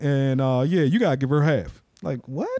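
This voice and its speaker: Over a very clean recording with a silent background, a man talks fairly slowly in a dark, mellow tone with lively intonation. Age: 20s. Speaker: author. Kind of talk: casual chat.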